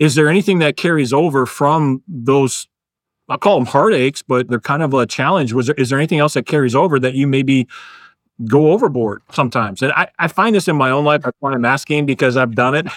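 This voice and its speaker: This man has an ordinary speaking voice, fairly high in pitch with ordinary pitch variation and very even loudness, delivered at a fairly quick pace. The recording is very clean, with a silent background. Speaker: podcast host. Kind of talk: casual interview conversation.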